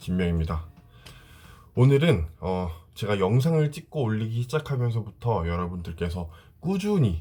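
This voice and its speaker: A man's somewhat breathy voice with a dark, mellow tone, lively intonation and a moderate pace. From South Korea, with six school years in Dalian, China. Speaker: vlogger. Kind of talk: casual vlog talk to camera.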